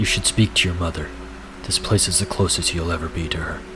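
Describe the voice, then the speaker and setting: A put-on character voice rattles along at a very fast pace. Loud noise fills the background. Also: man, very deep, low pitch for a man. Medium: read story.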